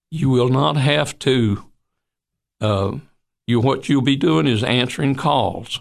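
Speaking at a very slow pace with a Tennessee accent, the voice has lively intonation and vocal fry. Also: man. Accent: Southern US (Tennessee). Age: 80s+. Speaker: retired physician. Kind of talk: interview. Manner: halting.

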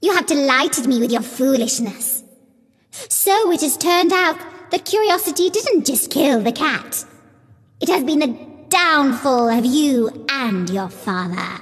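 A female-sounding voice uses a put-on character voice with a high pitch. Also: fairly slow pace. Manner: evil, gloating.

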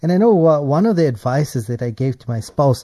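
Over a quiet background, a man speaks in a dark, mellow tone that is somewhat breathy. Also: dry, close sound with no echo. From South Africa. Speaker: radio host. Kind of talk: radio interview.

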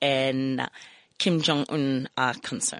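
A woman's very slow voice, dry and close with no echo. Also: quiet background. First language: not English. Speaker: radio host. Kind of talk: reading aloud; interview. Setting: studio.

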